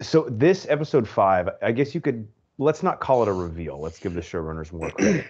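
A man speaks at medium pitch with very wide pitch swings. The background is quiet. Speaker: podcast host. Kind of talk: casual chat. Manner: animated, frustrated.

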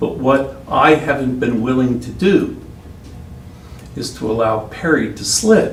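A man with an American accent talks at a fairly slow pace, leaving long, frequent pauses. His loudness swings widely amid audible room echo and noticeable background noise. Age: 60s. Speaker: city attorney. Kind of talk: council meeting remarks. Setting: city council meeting. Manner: halting, repetitive.

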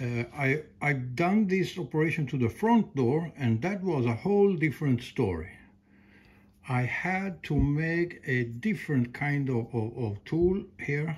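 A somewhat breathy male voice at a very slow pace. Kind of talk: tutorial. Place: garage.

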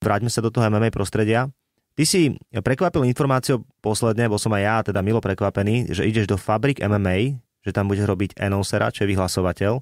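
A man's fairly low voice at very even loudness, ordinary pitch variation and a fairly quick pace, a plain, everyday voice, dry and close with no echo, on a very clean recording with a silent background. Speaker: podcast host. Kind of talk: casual interview.

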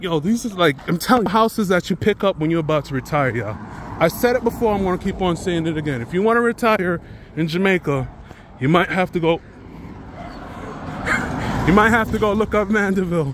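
With lively intonation, a man speaks at a high pitch and a fairly quick pace, in a dry sound with no echo and light background noise. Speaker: travel vlogger. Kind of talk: casual vlog chat. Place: street. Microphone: phone near.

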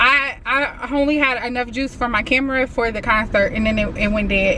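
A woman speaks at a moderate pace with fairly even intonation. The sound is dry with no echo, but there is noticeable background noise. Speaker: vlogger. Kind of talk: casual vlog chat. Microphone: phone near.

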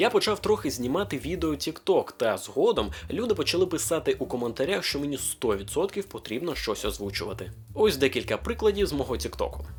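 A man with a fairly high pitch and vocal fry talks at a fairly quick pace with very wide pitch swings, in a very clean recording with a silent background. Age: 20s. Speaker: aspiring voice-over artist. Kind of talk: casual talk to camera.

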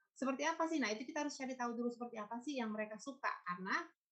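Ordinary pitch variation marks a woman's voice over a quiet background. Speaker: food stylist, culinary writer and lecturer; lecturer. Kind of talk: webinar presentation. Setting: video call. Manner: halting. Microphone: video call.

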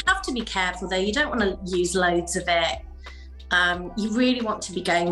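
A woman talks at a fairly low pitch with ordinary pitch variation. Faint music and audible room echo sit in the background. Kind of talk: interview answer. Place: home room.

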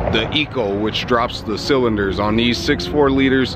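Over loud background noise, a man speaks at a moderate pace with ordinary pitch variation, in a dry sound with no echo. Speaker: car vlogger. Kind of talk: casual vlog chat. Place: street. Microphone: phone near.

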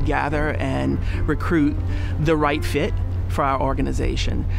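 Over music in the background, a man with a very deep, low pitch makes very wide pitch swings, in a dry sound with no echo. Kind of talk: interview answer. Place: garden. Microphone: lapel.

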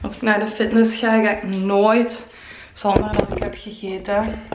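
Audible room echo surrounds a woman talking at a very slow pace in a flat monotone. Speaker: fitness vlogger. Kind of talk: casual vlog chat and workout instruction. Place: home room. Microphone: phone near.

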